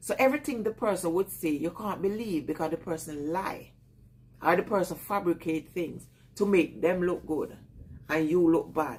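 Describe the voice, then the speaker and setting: At a moderate pace, a woman speaks in a Jamaican accent with lively intonation. Her pitch is fairly low. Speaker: vlogger. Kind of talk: casual live chat with viewers.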